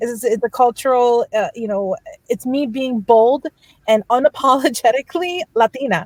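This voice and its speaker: Speaking at a moderate pace, a woman with a slight Spanish accent uses a high pitch, and the sound is dry and close with no echo. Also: ordinary pitch variation. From Miami, Florida. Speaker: entertainment producer. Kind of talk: panel discussion. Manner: trips on words.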